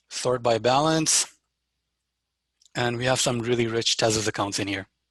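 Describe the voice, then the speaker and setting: Over a quiet background, a man with a normal speaking voice talks at a moderate pace in a medium pitch, his intonation fairly even. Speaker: developer workshop presenter. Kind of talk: live software demo tutorial. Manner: casual with fillers.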